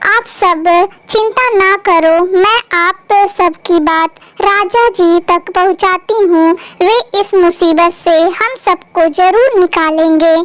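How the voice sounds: Extremely high-pitched, the female-sounding cartoonish character voice squeaks along. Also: fairly slow pace.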